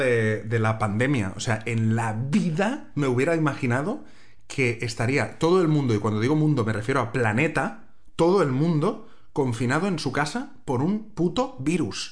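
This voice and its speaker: A man with a medium pitch speaks in an animated, somewhat breathy tone at very even loudness, with audible room echo. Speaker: podcast co-host and TV reporter. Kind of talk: casual chat. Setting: recording at home, sharing one mic.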